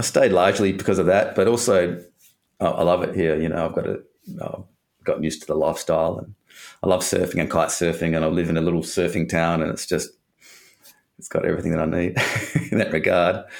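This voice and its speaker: A man with an Australian accent talks at a very fast pace, broken by long, frequent pauses. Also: very clean recording, silent background. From Western Australia (Perth). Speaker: breakup recovery coach. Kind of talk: interview conversation.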